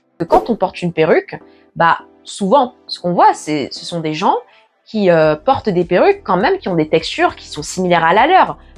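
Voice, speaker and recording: A woman talks with very wide pitch swings. There is music in the background. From Paris, France. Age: 20s. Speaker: natural hair YouTuber. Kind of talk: casual talk to camera.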